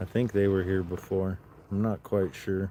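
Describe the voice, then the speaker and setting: A man speaks quietly in a very deep, low voice with a dark, mellow tone. His intonation stays monotone and flat. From Southern California, Los Angeles. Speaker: livestreamer. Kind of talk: live stream chat. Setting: outdoors.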